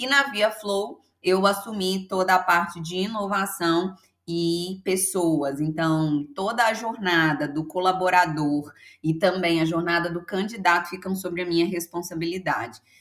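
This woman has a plain, everyday voice, pitched at a medium level. She talks fairly slowly, and her pitch varies in an ordinary way. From Brazil, Minas Gerais (Belo Horizonte). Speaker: HR consultant and mentor. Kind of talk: podcast interview.

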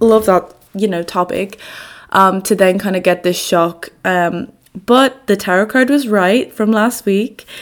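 The pace is fairly slow. The pitch shows ordinary variation. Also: woman, medium pitch for a woman. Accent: Dublin. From Ireland, Dublin. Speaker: podcast host, student. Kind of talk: casual chat.

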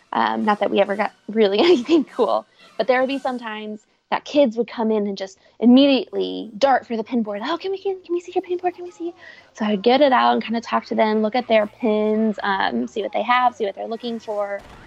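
A woman with a Midwestern American accent talks very fast in a fairly high pitch with lively intonation and big swings in loudness. The sound is dry and close, with no echo. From Cincinnati, Ohio, US Midwest. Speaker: former theme park employee. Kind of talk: interview.

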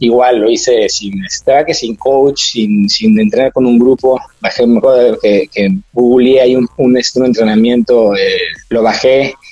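Noticeable background noise sits behind a man's voice. He speaks at medium pitch and a fairly slow pace. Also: ordinary pitch variation. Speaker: amateur triathlete. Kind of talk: interview. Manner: halting, many fillers.

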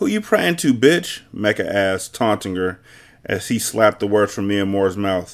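The clip is delivered in an unforced reading voice.

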